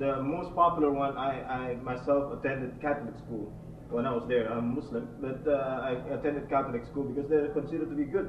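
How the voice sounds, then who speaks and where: Amid noticeable background noise and audible room echo, a man speaks at a fairly quick pace with a fairly high pitch and fairly even intonation. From Indonesia. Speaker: audience member. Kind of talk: audience question. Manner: halting.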